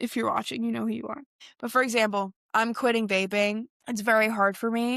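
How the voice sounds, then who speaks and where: Her voice fairly high and animated, a woman speaks at a fairly quick pace with a dry, close sound and no echo. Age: 20s. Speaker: podcast host. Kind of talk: casual solo podcast talk.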